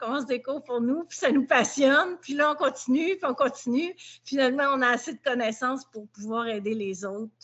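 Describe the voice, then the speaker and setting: In a Quebec accent, a woman talks fairly quickly in a high pitch with ordinary pitch variation and hardly any pauses. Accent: Québécois French. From Quebec, Montreal. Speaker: dog behaviour trainer. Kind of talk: testimony.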